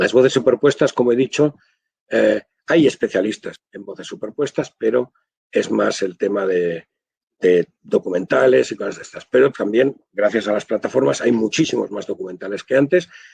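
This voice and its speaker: A man speaks at a moderate pace and medium pitch, with vocal fry and lively intonation. His loudness swings widely, and the sound is dry and close with no echo. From Spain, Barcelona (Catalonia). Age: 60s. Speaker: audiovisual translator. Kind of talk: webinar talk.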